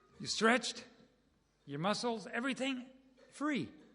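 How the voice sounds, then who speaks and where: Raising and projecting his voice, a man speaks at a high pitch in a bright, sharp tone with lively intonation. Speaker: preacher. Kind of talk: sermon. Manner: fast.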